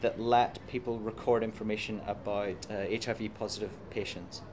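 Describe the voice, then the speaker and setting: A man with an Irish accent. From Ireland. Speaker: computer science professor. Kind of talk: interview. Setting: conference.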